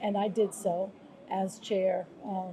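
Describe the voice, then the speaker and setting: A woman's medium-pitched voice with an American accent, over noticeable background noise. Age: 60s. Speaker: former police commissioner and nonprofit leader. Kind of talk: interview. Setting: travel interview in Brazil.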